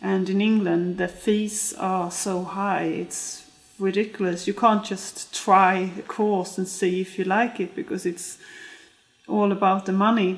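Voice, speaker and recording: A woman with a Swedish accent speaks fairly slowly at a medium pitch, in a monotone, flat intonation. Noticeable background noise is present. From Sweden. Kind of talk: documentary interview.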